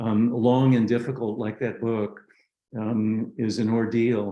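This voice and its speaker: A man's very slow, dark and mellow voice at medium pitch, with an American accent. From Southern California, San Diego. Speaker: author and Buddhist scholar. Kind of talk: talk to a practice group. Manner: halting, many fillers.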